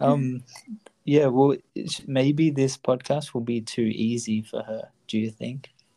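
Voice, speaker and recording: With an Australian accent, a man speaks very slowly with long, frequent pauses, in a medium pitch and a dark, mellow tone with fairly even intonation. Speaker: podcast host, language learning. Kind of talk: casual bilingual conversation.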